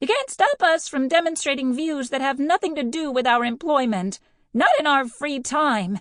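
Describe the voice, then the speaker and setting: At a moderate pace, a woman uses a squeaky, high-pitched put-on character voice with lively intonation. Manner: defiant, speaking up from the back of a crowd.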